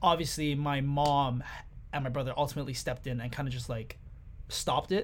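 A man's somewhat breathy voice, fairly high in pitch, at a fairly quick pace with fairly even intonation. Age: 20s. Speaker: podcast guest sharing personal story. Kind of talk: casual personal conversation.

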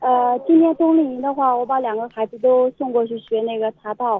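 A woman talks in a high pitch. Her pitch varies in an ordinary way. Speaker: mother of two young tea-art students. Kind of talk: radio interview. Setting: phone call from a car on the highway. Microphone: phone line, signal dropouts.

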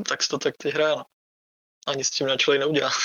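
Fairly high in pitch, a man rattles off his words at a very fast pace. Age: 20s. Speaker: esports player. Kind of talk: casual chat.

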